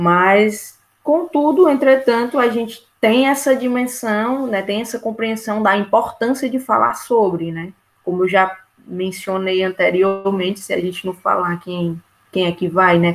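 A woman speaks with a fairly high pitch and ordinary pitch variation. Her pace is fairly slow. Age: 20s. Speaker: geography student. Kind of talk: casual chat. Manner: halting, many fillers.

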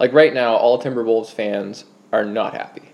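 A man keeps a moderate pace as noticeable background noise plays underneath. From Canada. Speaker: podcast host and sports blogger. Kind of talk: casual interview chat.

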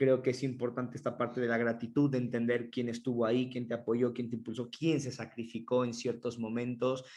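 A man with a Mexican accent talks at a fairly quick pace and medium pitch, hardly pausing, in a monotone, flat intonation. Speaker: podcast co-host. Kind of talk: casual chat.

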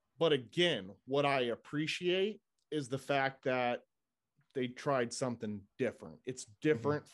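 A man has an ordinary speaking voice of medium pitch with ordinary pitch variation. His loudness swings widely against a quiet background. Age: 40s. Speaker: football podcast co-host and fan. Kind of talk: casual chat.

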